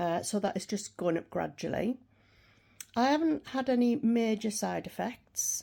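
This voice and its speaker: On a very clean recording with a silent background, a woman with a British accent speaks at a moderate pace, her fairly high voice dark and mellow in tone, with lively intonation. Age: 60s. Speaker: vlogger. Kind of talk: casual chat.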